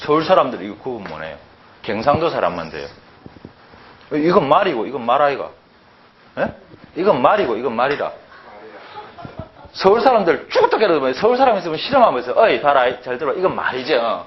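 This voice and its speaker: With a Gyeongsang accent, a man talks at a fairly quick pace in an animated tone, with long, frequent pauses. Noticeable background noise and audible room echo fill the recording. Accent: Gyeongsang dialect speaker. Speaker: Chinese and Hanja language teacher. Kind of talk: lecture. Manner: animated, conversational with rhetorical questions.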